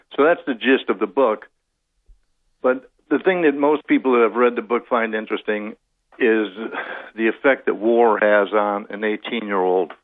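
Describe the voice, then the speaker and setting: Here a man speaks at a moderate pace, leaving long, frequent pauses. His pitch is medium, with ordinary variation. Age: 60s. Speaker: author and Vietnam veteran. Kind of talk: radio interview. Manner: halting.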